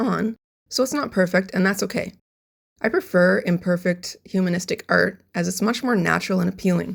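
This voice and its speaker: Speaking at a fairly quick pace, a woman uses a medium pitch with ordinary variation and audible vocal fry. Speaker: character designer and animation artist. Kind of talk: tutorial narration.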